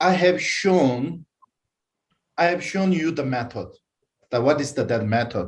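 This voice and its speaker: This man's somewhat breathy voice moves at a moderate pace with lively intonation. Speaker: Buddhist teacher. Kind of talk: dharma teaching. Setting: online broadcast with concurrent translation. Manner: halting, many fillers.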